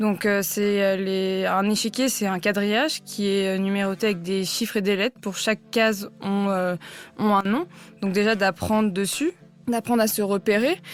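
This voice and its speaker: A woman talks at a moderate pace and medium pitch, her intonation fairly even. Her loudness stays very even over music in the background. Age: 20s. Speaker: chess player. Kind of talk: interview. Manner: hesitant, many fillers.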